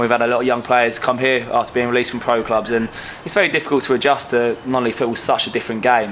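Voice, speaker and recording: Very fast speech from a man at medium pitch, fairly even in intonation, amid noticeable background noise. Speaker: footballer, goalkeeper. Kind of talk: interview.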